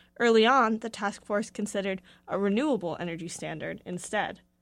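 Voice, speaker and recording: A woman's unremarkable speaking voice, fairly high in pitch and at a fairly quick pace, on a very clean recording with a silent background. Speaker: radio reporter. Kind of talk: scripted news report. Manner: formal.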